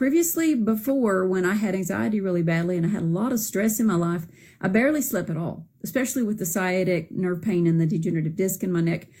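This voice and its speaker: Speaking very fast with hardly any pauses, a woman with a Southern US accent has a medium pitch, lively intonation and a dark, mellow, somewhat breathy tone on a very clean recording with a silent background. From Arkansas, US South. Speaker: product user giving testimonial. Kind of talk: testimony. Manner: casual, hesitant with fillers.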